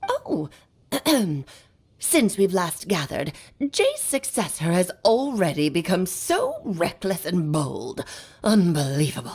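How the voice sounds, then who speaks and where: Using a put-on character voice, a woman speaks at a medium pitch and a fairly slow pace, with long, frequent pauses. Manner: haughty, commanding.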